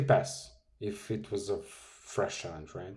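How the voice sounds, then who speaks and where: Vocal fry runs through a man's voice. The room around him carries audible echo. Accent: Serbian. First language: Serbian. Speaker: forex trading youtuber. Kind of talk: trading tutorial. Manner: animated.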